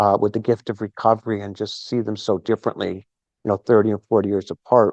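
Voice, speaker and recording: A man talks at a fairly quick pace with a plain, everyday voice. His pitch is fairly low, and the sound is dry and close with no echo. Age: 60s. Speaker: recovery event speaker, former seminarian. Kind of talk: talk at recovery meeting. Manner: conversational, many fillers.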